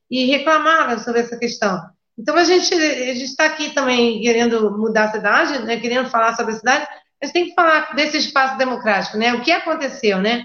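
A woman talks at a fairly quick pace in a high voice. Her pitch moves an ordinary amount. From Brazil, Rio de Janeiro. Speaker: party spokesperson, moderator. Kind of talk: moderating online debate.

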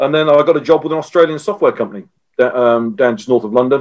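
An unremarkable speaking voice, a man's, moves at a fairly quick pace with ordinary pitch variation. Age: 50s. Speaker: software strategist. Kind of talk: interview.

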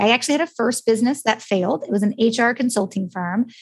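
On a very clean recording with a silent background, a woman with an American accent speaks very fast in a fairly high, somewhat breathy voice. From United States. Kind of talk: podcast interview.

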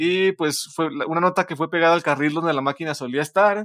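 The sound is dry and close, with no echo. A man talks at a fairly quick pace. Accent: Mexican. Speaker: podcast co-host. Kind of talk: casual chat.

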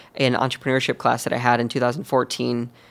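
The speaker is a man with a medium pitch. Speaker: outdoor gear company founder. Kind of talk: interview. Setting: on a couch by a pool.

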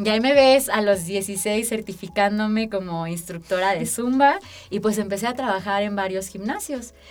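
A woman talks at a moderate pace with medium pitch and ordinary pitch variation. Noticeable background noise runs underneath. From Aguascalientes, Mexico. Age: 20s. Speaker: social activist and podcast co-host. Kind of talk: interview storytelling.

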